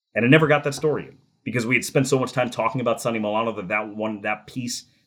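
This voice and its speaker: A man speaks at a very fast pace with an American accent and ordinary pitch variation. The recording is very clean, with a silent background. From New Jersey. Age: 30s. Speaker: hockey play-by-play announcer. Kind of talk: interview.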